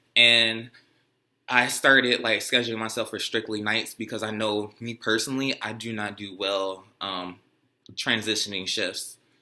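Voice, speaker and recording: A man's medium-pitched voice, bright and sharp in tone, with monotone, flat intonation, a moderate pace and big swings in loudness, on a very clean recording with a silent background. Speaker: nurse. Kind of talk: casual chat. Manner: halting.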